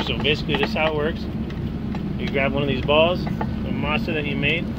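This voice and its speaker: The speech moves at a moderate pace against loud background noise. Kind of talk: tutorial. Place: car. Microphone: phone near.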